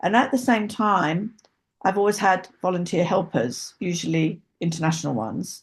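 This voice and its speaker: Her voice is somewhat breathy and sits at a medium pitch for a woman. She talks at a moderate pace with ordinary pitch variation. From rural England. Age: 70s. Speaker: equine therapist and horse rescuer. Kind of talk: interview conversation. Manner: hesitant, with many fillers.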